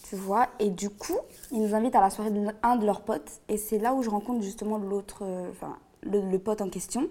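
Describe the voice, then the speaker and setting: A woman talks at a moderate pace in an unremarkable speaking voice. Her pitch is fairly high, with fairly even intonation. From La Réunion. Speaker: guest storyteller. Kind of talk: personal testimony in casual interview.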